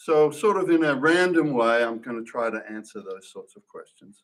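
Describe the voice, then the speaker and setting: With an Australian accent, a man speaks at a moderate pace in a fairly high pitch. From Australia, Perth, Western Australia. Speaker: church member giving testimony. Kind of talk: testimony. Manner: halting, many fillers and restarts.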